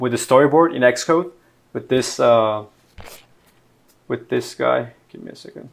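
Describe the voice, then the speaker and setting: With a Mexican accent, a man talks at a medium pitch. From Mexico, Monterrey. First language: Spanish. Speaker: software engineer teaching programming. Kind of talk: live-streamed coding tutorial. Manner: halting, many fillers and repetitions; casual.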